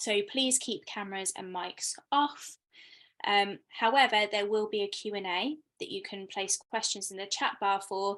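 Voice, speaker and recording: A woman with a British accent, medium pitch, fairly even intonation and a fairly slow pace. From Britain. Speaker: arts producer, talk host. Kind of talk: hosting an online artist talk. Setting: video call.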